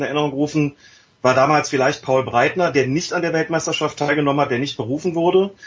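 A man's fairly high-pitched, somewhat breathy voice at a very fast pace, with ordinary pitch variation. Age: 50s. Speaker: journalist and author. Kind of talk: casual chat.

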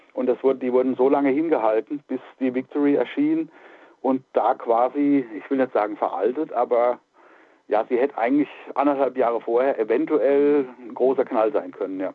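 A man in a normal speaking voice, medium in pitch, with fairly even intonation at a moderate pace. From Palatinate, Germany. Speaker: metal musician and music journalist. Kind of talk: casual interview chat.

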